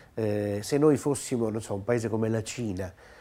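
A man talks at medium pitch and a moderate pace, with ordinary pitch variation. Noticeable background noise runs behind him. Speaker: TV music program host. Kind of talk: interview conversation. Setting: guest's home. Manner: hesitant, repetitive phrasing.

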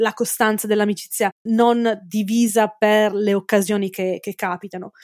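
In a dry, close sound with no echo, a woman with a fairly high pitch speaks at a moderate pace with ordinary pitch variation. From Italy. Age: 40s. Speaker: forensic entomologist. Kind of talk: interview. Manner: halting.

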